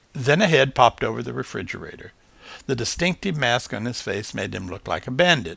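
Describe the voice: Simply plain reading aloud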